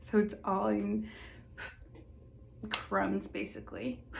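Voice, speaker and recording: A soft-spoken woman in a relaxed tone. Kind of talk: soft-spoken ASMR makeup get-ready-with-me talk to camera. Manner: soft-spoken, relaxed, casual.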